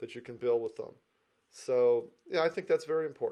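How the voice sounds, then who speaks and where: A man is speaking. His voice has a dark, mellow tone. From US, Detroit. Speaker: real estate agent. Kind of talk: interview.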